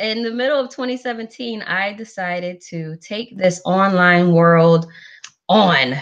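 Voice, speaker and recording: Speaking at a fairly slow pace, a woman with an American accent uses lively intonation at medium pitch over a quiet background. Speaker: business mentor. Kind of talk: sales pitch. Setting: live webinar.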